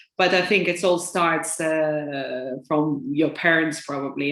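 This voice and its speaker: With a Lithuanian accent, a woman talks at a fairly slow pace and fairly low pitch, her tone bright and sharp and her intonation fairly even, on a very clean recording with a silent background. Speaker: financial advisor. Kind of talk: interview. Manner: hesitant, many fillers.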